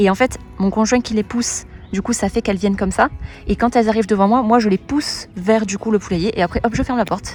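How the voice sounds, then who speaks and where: A woman whispers quietly at a fairly quick pace over noticeable background noise. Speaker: poultry keeper vlogger. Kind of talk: casual vlog tour. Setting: outdoors. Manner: whispering, quiet outdoors; hesitant, many fillers.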